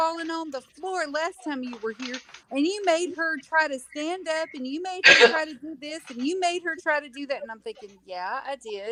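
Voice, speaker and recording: Raising and projecting her high voice, a woman speaks with lively intonation and big swings in loudness. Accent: Southern US. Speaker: home health clinician. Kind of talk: casual chat. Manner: slow.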